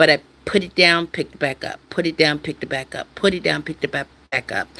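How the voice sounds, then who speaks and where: A woman speaks at a moderate pace with vocal fry. Her tone is bright and sharp. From USA. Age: 60s. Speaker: YouTuber. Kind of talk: casual live stream chat. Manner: halting, repetitive.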